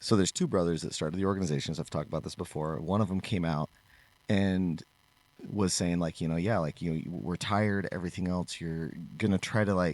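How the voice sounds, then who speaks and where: This man's voice is very deep and low, with fairly even intonation. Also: fairly quick pace. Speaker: podcast co-host and martial arts instructor. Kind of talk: casual chat.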